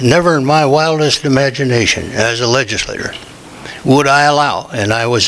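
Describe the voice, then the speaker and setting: There is noticeable background noise as a man speaks at a moderate pace. His pitch is medium with ordinary variation. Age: 80s+. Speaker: former state legislator, public commenter. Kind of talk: public comment at city meeting. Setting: city commission meeting.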